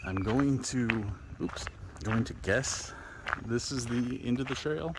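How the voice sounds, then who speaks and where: Noticeable background noise accompanies a man speaking at a medium pitch with lively intonation. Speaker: outdoor vlogger. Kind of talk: casual vlog narration while hiking. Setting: outdoors on a hiking trail. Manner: loud.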